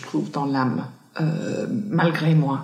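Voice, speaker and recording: A woman talks fairly slowly, with noticeable background noise present. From Ireland, countryside near Cork. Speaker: entrepreneur, founder of sport and wellness retreats. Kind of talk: interview conversation. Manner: hesitant, many repetitions and fillers.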